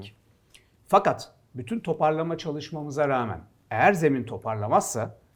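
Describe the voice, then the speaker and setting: A man talks with a fairly high pitch and very wide pitch swings. The recording is very clean, with a silent background. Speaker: football pundit. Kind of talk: casual sports talk show.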